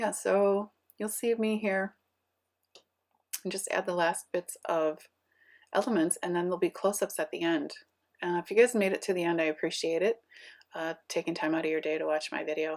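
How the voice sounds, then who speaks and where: On a very clean recording with a silent background, a woman of medium pitch speaks quietly at a fairly quick pace with ordinary pitch variation and long, frequent pauses. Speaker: scrapbooking youtuber. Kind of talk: craft process voiceover.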